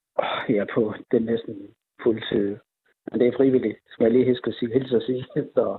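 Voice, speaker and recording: Long, frequent pauses break up this man's moderate pace. His pitch is medium and his intonation monotone and flat. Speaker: boxing coach. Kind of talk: phone interview. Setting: phone call. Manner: halting.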